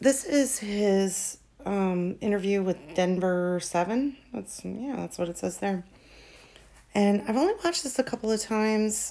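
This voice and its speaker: A soft-spoken woman talks at a fairly slow pace. Her pitch varies in an ordinary way. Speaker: true crime commentator. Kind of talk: casual commentary. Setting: at home at night. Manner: soft-spoken, speaking quietly.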